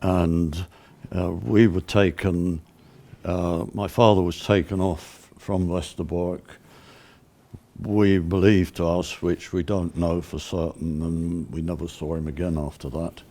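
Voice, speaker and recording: Here is a man with a British accent and a very deep, low pitch. His tone is dark and mellow, and his intonation stays fairly even. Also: fairly slow pace. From England. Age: 80s+. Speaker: sculptor and Holocaust survivor. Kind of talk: interview testimony. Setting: on location set.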